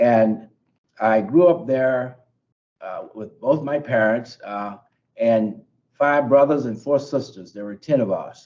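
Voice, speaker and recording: With an American accent, a man of medium pitch speaks at a very slow pace, using long, frequent pauses, big swings in loudness and ordinary pitch variation. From US South, Bessemer, Alabama. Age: 70s. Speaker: federal judge. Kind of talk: interview. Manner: halting, many fillers and repetitions.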